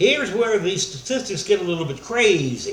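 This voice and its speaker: A man with a high pitch and very wide pitch swings, plus audible room echo and noticeable background noise. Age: 60s. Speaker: pastor. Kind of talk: sermon.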